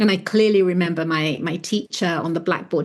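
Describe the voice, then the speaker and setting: A woman with an English accent talks at a fairly quick pace with fairly low pitch and a somewhat breathy sound. Her pitch varies in an ordinary way against a quiet background. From London, England (born in Florence, moved at seven). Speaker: artist and author. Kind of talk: podcast interview.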